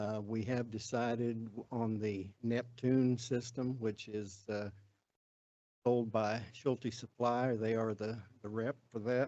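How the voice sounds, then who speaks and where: In a dark, mellow tone, a man speaks at a very slow pace with monotone, flat intonation. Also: medium pitch for a man. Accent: Southern US. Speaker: city staff official. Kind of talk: public meeting presentation. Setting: city council meeting. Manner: halting, many fillers.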